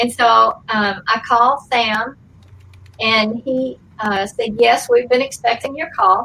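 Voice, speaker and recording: A woman speaks with a Southern US accent in a bright, sharp tone. Her fairly high pitch has ordinary variation, at a very slow pace. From US South, Georgia (Atlanta area). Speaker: actress. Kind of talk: interview, storytelling. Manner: conversational with frequent fillers.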